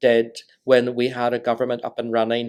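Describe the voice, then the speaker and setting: Someone talks in a Northern Irish accent. The pace is moderate. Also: man. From Northern Ireland. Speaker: diplomat. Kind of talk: lecture talk to audience.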